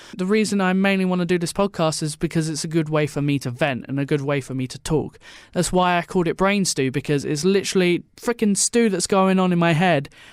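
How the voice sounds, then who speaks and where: A man with an Essex accent talks at a very fast pace with hardly any pauses, his voice high with ordinary pitch variation. The recording is very clean, with a silent background. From Essex, England. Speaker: podcast host, radio student. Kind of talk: casual solo podcast talk. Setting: solo recording into a mic.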